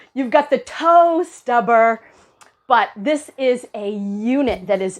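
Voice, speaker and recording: Over music in the background, a woman with a fairly high pitch talks at a fairly slow pace with lively intonation. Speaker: RV reviewer. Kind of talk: casual walkthrough review.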